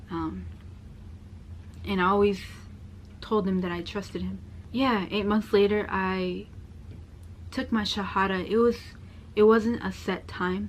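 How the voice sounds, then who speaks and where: A soft-spoken woman talks at a fairly slow pace, leaving long, frequent pauses. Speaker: convert sharing story. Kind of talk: personal testimony.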